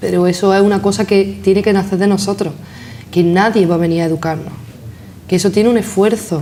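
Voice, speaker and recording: A woman talks at a fairly quick pace with very even loudness. Noticeable background noise sits behind her. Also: medium pitch for a woman, fairly even intonation. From Granada, Andalusia. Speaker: interview guest. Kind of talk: interview.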